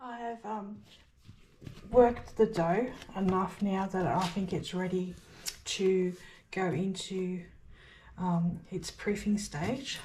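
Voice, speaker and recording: Long, frequent pauses mark this woman's very slow delivery. Her voice sits at a medium pitch. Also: ordinary pitch variation. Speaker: home baker, homesteader. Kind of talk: casual cooking tutorial to camera. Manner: hesitant, frequent fillers.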